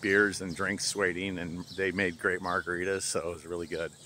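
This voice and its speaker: Speaking at a moderate pace, a man with a very deep, low pitch comes through light background noise in a dry sound with no echo. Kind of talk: casual vlog chat. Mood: relaxed, pleased. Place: street. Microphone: phone near.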